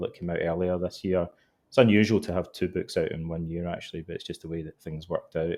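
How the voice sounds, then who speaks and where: Speaking at a very fast pace, a man with a Scottish accent has a very deep, low pitch. His intonation is fairly even, and the background is quiet. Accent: Scottish, noticeable. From Scotland. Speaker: author and psychotherapist. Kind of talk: interview.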